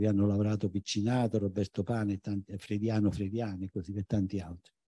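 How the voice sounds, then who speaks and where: Against a quiet background, a man speaks at a fairly quick pace in a dark, mellow tone. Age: 70s. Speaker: architecture professor. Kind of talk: conference talk. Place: hall. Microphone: handheld.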